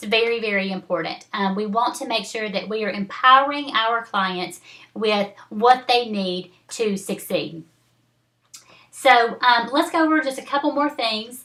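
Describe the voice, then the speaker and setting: With a Southern US accent, a woman at a fairly high pitch talks fairly slowly in a bright, sharp tone with lively intonation. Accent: Southern accent, noticeable. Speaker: network marketing team leader. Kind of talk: training video. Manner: casual, halting with fillers.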